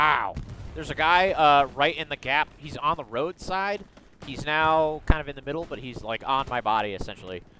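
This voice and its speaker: Lively intonation and an animated tone come through in a bright, sharp voice at a moderate pace, with big swings in loudness, a dry sound with no echo and light background noise. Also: man, fairly high pitch for a man. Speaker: gamer leading a squad. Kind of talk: casual gaming chat. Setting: online voice chat. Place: home room.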